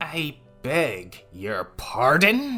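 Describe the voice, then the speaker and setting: Over faint music in the background, a growling, put-on character voice at a low-to-middle pitch swings very widely in pitch. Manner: through gritted teeth, barely controlled anger.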